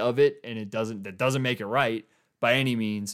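A normal speaking voice from a man with an American accent, medium pitch and fairly even intonation, in a very clean recording with a silent background. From Colorado (Boulder area). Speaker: sports podcast host. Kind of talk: casual solo sports commentary. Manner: casual, conversational with fillers.

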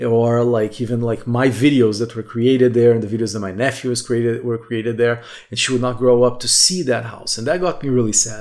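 A man speaks at a fairly quick pace in a Portuguese accent, his medium pitch held to a fairly even intonation. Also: hardly any pauses. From southern Brazil. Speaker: podcaster. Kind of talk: solo reflective monologue.

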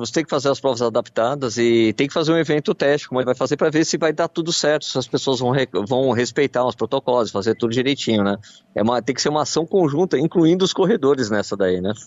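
The speech comes at a very fast pace with hardly any pauses. Its intonation is lively. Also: man. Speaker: radio running columnist. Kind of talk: radio chat.

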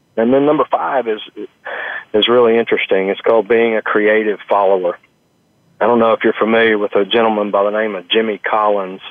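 With an American accent, a man speaks fairly quickly at a medium pitch in a monotone, flat intonation. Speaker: restaurant chain executive. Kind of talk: interview. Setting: on location at a restaurant.

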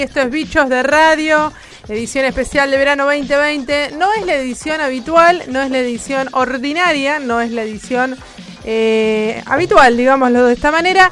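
A woman with a Rioplatense accent talks at a moderate pace in a high voice with ordinary pitch variation. Noticeable background noise runs under her speech. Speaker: radio host. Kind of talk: casual chat. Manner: animated.

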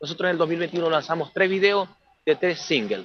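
At a fairly quick pace, a man talks in a high voice with fairly even intonation. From Venezuela. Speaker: rock band singer and guitarist. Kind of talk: interview. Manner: halting, many repetitions.

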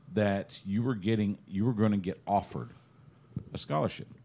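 A man speaks in a Texan accent at a fairly low pitch. His tone is dark and mellow. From East Texas. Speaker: sports podcast host. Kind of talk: casual chat.

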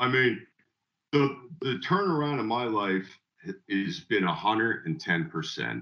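A man with an American accent speaks at a medium pitch with vocal fry and very wide pitch swings. His pace is very slow, broken by long, frequent pauses. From Northwest New Jersey. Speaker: recovering alcoholic sharing his story. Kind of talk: testimony.

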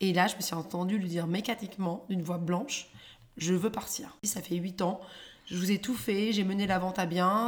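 The voice has an animated tone, ordinary pitch variation and a somewhat breathy quality. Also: woman. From London, England (raised), born in Paris. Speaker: comedian, former business lawyer. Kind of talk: casual chat. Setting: at home.

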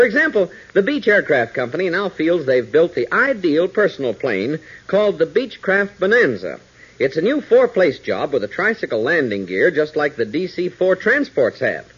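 A man speaks at a moderate pace with big pitch swings. His tone is fairly bright with a slightly husky edge.

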